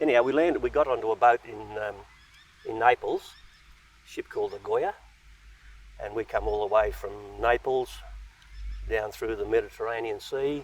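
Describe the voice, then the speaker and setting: A man speaks at a moderate pace in an Australian accent. His loudness swings widely, and he pauses long and often. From Australia, Central West New South Wales. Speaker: post-war migrant telling his life story. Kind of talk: interview, personal life story. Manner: hesitant, many fillers.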